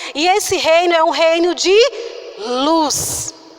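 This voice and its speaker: Soft-spoken, a woman talks in an extremely high voice with lively intonation against noticeable background noise. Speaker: preacher. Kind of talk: sermon.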